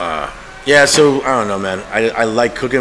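The speaker moves at a fairly quick pace with ordinary pitch variation over noticeable background noise. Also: man. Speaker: chef and artist. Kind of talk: casual banter interview. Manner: rambling, loud, animated.

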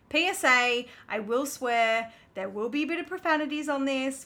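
Bright and sharp in tone, a woman with an Australian accent speaks with ordinary pitch variation. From Melbourne, Australia. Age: 20s. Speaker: podcast co-host. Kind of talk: casual chat.

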